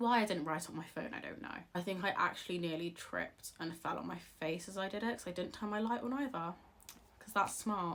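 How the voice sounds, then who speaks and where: A woman talks at a fairly quick pace. Her voice sits at a medium pitch. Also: ordinary pitch variation. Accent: British. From England. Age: 20s. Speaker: author and video creator. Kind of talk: casual advice vlog. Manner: animated.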